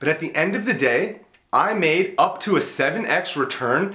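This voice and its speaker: A man's voice is heard with audible room echo. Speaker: business YouTuber and entrepreneur. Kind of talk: casual monologue video on business advice. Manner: conversational, uses fillers like you know and right.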